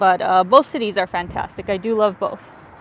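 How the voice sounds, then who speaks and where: Someone speaks at a moderate pace in a Canadian accent, with noticeable background noise. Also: woman. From Canada. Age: 30s. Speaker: travel vlogger. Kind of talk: live stream chat. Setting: outdoors walking city streets. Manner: animated.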